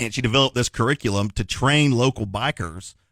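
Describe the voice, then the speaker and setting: A man speaks with ordinary pitch variation in a very clean, dry, close recording with no echo and a silent background. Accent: Southern. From Tennessee, Knoxville. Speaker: lawyer. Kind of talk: radio interview. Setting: radio studio. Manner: casual, filler-heavy.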